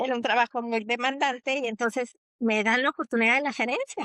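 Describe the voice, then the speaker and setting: A woman's high-pitched voice, bright and sharp in tone, comes through dry and close with no echo and ordinary pitch variation. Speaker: psychologist and teacher. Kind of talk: podcast interview.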